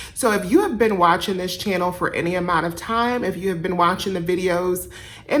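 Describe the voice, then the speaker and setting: A woman speaks at a medium pitch with ordinary pitch variation, with noticeable background noise and audible room echo. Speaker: couponing youtuber. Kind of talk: casual tutorial vlog.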